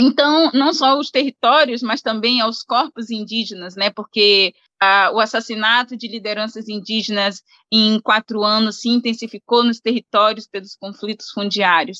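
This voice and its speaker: A woman's bright, sharp tone, fairly high in pitch, with ordinary pitch variation at a moderate pace. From Brazilian Amazon, banks of the Solimões River. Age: young. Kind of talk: interview conversation.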